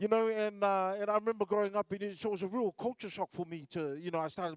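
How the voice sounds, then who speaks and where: A very fast, animated male voice, dry and close with no echo. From New Zealand, Wellington (Samoan family). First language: Samoan. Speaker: comedian and MC. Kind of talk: stand-up. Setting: stage with audience.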